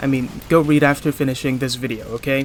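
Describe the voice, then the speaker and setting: Noticeable background noise fills the recording. The man talks at a fairly quick pace. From Hong Kong. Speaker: gaming commentator. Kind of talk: video commentary.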